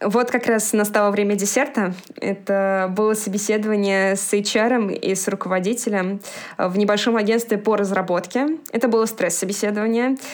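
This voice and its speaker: A woman with a plain, everyday voice talks at a moderate pace and medium pitch, keeping very even loudness and fairly even intonation. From Moscow, Russia. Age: 20s. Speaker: former cook moving into IT project management. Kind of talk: podcast interview.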